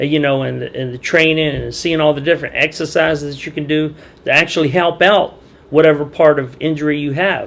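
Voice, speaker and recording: This man has an unremarkable speaking voice, with a fairly high pitch, fairly even intonation and a fairly quick pace. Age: 50s. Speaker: dock worker. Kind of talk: interview answer.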